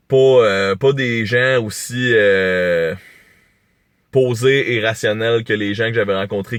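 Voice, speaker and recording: A man's fairly low voice in a Quebec accent, against a quiet background. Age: young. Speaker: YouTuber. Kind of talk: vlog monologue. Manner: animated.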